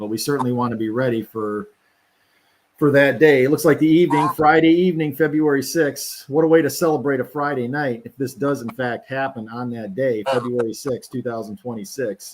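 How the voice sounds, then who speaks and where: This man has a normal speaking voice at medium pitch, talking at a fairly quick pace with ordinary pitch variation. His loudness swings a lot, and the recording is very clean with a silent background. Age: 50s. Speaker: live stream host. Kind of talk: casual live commentary. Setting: recorded stream, not live.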